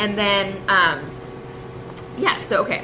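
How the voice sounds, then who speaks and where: There is audible room echo and noticeable background noise as a woman speaks at a medium pitch. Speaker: direct sales team leader. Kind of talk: live-streamed team training talk. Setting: coffee shop, live stream. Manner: fast; casual, filler-heavy.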